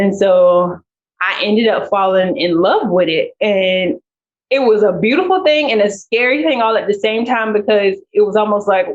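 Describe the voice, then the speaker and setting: Speaking at a moderate pace with an American accent, the voice keeps very even loudness and ordinary pitch variation. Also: woman, medium pitch for a woman. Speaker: PhD student scientist. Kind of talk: interview. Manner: casual, conversational with many fillers.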